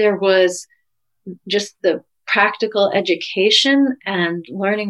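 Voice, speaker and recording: A plain, everyday voice. Its pitch varies in an ordinary way. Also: woman. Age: 50s. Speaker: physician and couples coach. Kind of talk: interview.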